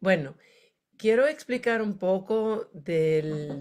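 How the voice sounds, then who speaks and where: The recording is very clean, its background silent. A woman talks with lively intonation. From United States. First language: English (speaking Spanish). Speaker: education academic. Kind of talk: conference presentation. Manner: halting.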